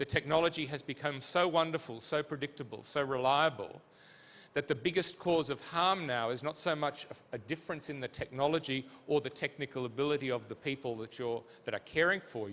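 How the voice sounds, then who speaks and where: Speaking at a fairly quick pace with an Australian accent, a man has a fairly high pitch and ordinary pitch variation. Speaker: physician and healthcare leadership academic. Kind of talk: conference panel answer.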